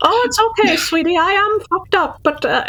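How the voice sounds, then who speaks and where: A woman's squeaky, put-on character voice at an extremely high pitch, delivered at a moderate pace. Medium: actual play. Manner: rambling, stammering, folksy.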